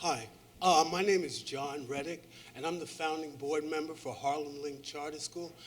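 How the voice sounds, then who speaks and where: A man speaks at a moderate pace with fairly even intonation and a fairly high pitch. There is audible room echo and noticeable background noise. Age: 60s. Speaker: audience member, charter school board member. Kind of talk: audience question at conference.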